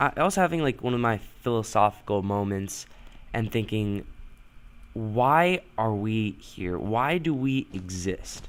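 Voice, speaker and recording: Lively intonation from a man at medium pitch. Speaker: gaming youtuber. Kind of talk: gameplay commentary. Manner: casual, hesitant with fillers.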